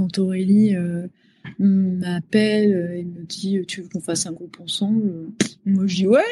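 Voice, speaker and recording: A woman at a very slow pace and medium pitch, somewhat breathy, in a flat monotone with big swings in loudness. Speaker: pop singer. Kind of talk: interview. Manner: halting, many hesitations.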